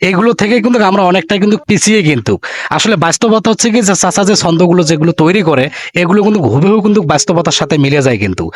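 Noticeable background noise sits under a man speaking with a high pitch, lively intonation and very even loudness. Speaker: local YouTube reporter. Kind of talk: street interview and video presentation.

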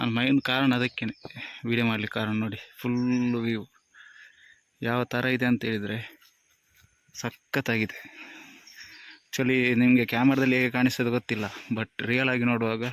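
A man speaks at a medium pitch with monotone, flat intonation. The sound is dry and close, with no echo. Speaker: truck driver vlogger. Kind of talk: casual vlog narration. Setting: in and around a delivery truck.

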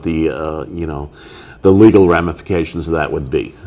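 A man speaks at a moderate pace in a very deep, low pitch, his intonation fairly even. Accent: Boston. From Brockton, Massachusetts. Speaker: city council candidate. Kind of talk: interview. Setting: studio.

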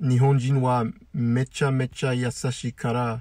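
A somewhat breathy, dark, mellow voice with an English accent, very slow and fairly even in intonation, dry with no echo against a quiet background. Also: man. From US. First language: English (speaking Japanese). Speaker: YouTuber and language learner; YouTuber. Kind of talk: monologue. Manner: halting. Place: car. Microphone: phone near.

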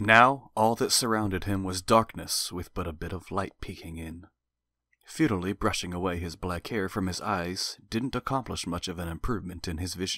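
In a very clean recording with a silent background and a dry, close sound with no echo, a man with a very deep, low pitch speaks at a moderate pace in a dramatic tone that is bright and sharp. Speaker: audiobook narrator. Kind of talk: audiobook narration of a fantasy novel. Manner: dramatic, vivid storytelling with tense action pacing.

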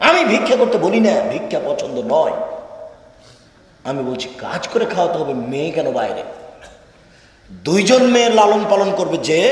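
There is audible room echo as a man talks with lively intonation. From Bangladesh. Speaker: Islamic preacher. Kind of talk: religious sermon. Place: hall. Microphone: podium.

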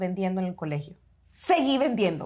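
A woman with a Salvadoran accent against a quiet background. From El Salvador. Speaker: architect turned business owner, podcast co-host; podcast co-host. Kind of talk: casual chat. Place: studio. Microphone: lapel.

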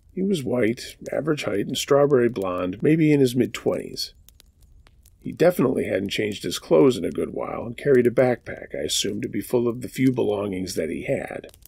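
Lively intonation marks this man's dark, mellow, medium-pitched voice, delivered at a fairly quick pace. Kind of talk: scary story narration, read aloud.

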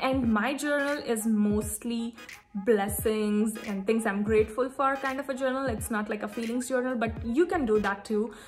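With faint music in the background, a woman speaks at a moderate pace with ordinary pitch variation. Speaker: lifestyle vlogger. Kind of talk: casual vlog chat. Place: home room. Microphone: phone near.

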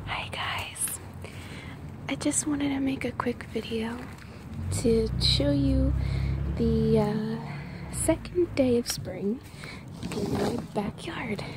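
Whispering comes at a very slow pace with long, frequent pauses. The sound is dry with no echo, and background noise is noticeable. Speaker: ASMR creator. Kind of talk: ASMR whispered nature walk. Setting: outdoors. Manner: whispered. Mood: calm, admiring. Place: garden. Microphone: phone near.

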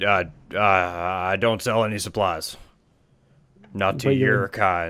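Putting on a character voice, a man speaks very slowly in a gruff, very deep, low tone. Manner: curt, hostile.

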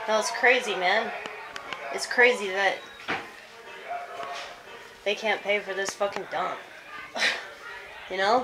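A woman talks at a fairly slow pace, with long, frequent pauses and ordinary pitch variation. Noticeable background noise runs underneath. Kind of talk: casual vlog chat. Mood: sad, nostalgic. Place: bathroom. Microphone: phone near.

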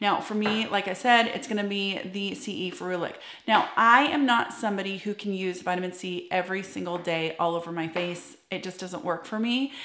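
With audible room echo and light background noise, a woman speaks at a moderate pace with hardly any pauses and ordinary pitch variation. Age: 40s. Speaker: esthetician and skincare YouTuber. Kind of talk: tutorial. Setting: home office. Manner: animated. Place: home room.

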